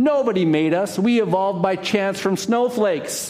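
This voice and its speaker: Doing a put-on character voice at a high pitch, a man speaks at a moderate pace over clear background noise. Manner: sarcastic.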